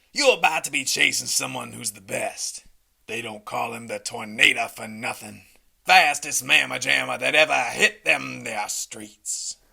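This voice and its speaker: A man speaks in a raspy, put-on character voice. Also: moderate pace. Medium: comedy sketch. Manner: folksy, boastful.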